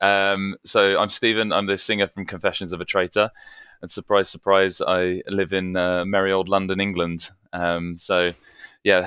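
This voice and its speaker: A man with a fairly low, bright and sharp voice speaks at a moderate pace. The recording is very clean and dry, close, with a silent background and no echo. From London, England. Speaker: band singer, podcast guest. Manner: hesitant, filler-heavy.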